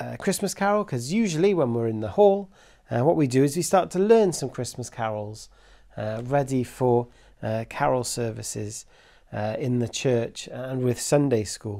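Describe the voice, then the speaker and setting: Dark, mellow male voice over a quiet background. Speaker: Sunday school teacher. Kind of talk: children's Sunday school talk. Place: home room.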